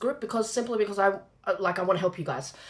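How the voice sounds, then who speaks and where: A woman speaks over noticeable background noise. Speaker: business coach. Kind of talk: live-streamed masterclass. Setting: live stream. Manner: fast.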